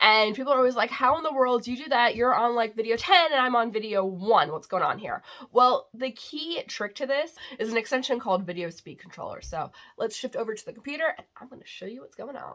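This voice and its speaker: With an American accent, a woman talks very fast in a high, bright, sharp voice, her animated tone carrying lively intonation and big swings in loudness. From New York. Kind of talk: tutorial.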